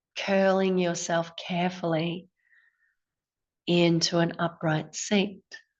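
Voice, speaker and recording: Speaking very slowly with long, frequent pauses, a woman uses a calm tone, fairly low pitch and monotone, flat intonation. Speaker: yoga teacher. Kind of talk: guided breathwork class. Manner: slow, calm.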